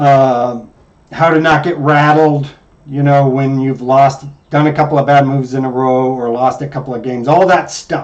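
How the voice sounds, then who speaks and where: Pitched fairly high, a man talks at a moderate pace with a monotone, flat intonation. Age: old. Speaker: chess coach. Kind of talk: lesson.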